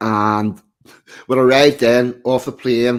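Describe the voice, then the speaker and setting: A man with a strong Belfast accent at medium pitch, on a very clean recording with a silent background. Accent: broad Belfast. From Northern Ireland, East Belfast. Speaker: podcast guest. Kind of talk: casual chat.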